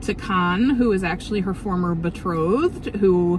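Noticeable background noise runs through the clip. The sound itself is dry with no echo. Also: woman. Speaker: book vlogger. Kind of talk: casual vlog chat. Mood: cheerful, enthusiastic. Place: car. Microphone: phone near.

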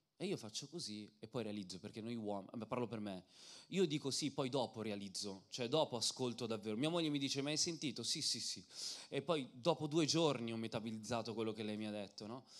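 Against a quiet background, a man talks fairly quickly in an animated tone with ordinary pitch variation. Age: 30s. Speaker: preacher and singer; preacher. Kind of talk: sermon. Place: church. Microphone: handheld.

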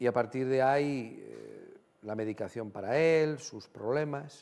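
A man talks very slowly, using ordinary pitch variation. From Spain, Guadalajara; Spain. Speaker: TV talk show host. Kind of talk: TV studio interview. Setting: TV studio with audience. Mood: gentle, empathetic. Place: studio. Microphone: lapel.

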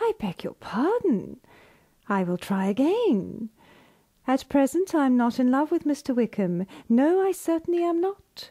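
At a fairly slow pace, a woman with a high pitch and a dark, mellow tone makes very wide pitch swings, heard dry and close with no echo on a very clean recording with a silent background. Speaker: voice artist. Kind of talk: audiobook reading.

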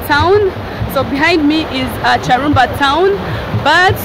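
Over crowd noise in the background, a woman speaks in a high pitch with ordinary pitch variation, and the sound is dry with no echo. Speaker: travel vlogger. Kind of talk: casual vlog chat. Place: open country. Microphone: phone near.

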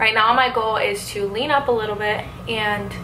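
There is noticeable noise in the background. A woman talks through it. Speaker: vlogger. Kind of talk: casual vlog chat. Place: home room. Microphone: phone near.

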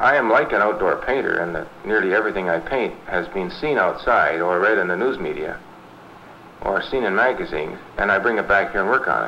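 Noticeable background noise runs under a man's voice. He speaks at a fairly quick pace with a fairly low pitch and ordinary pitch variation. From London, Ontario, Canada. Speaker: collage artist. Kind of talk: documentary interview.

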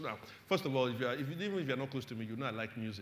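Audible room echo surrounds the recording. A man talks at a very fast pace with ordinary pitch variation. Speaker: pastor. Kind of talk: sermon. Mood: warm, humorous. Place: church. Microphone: lapel.

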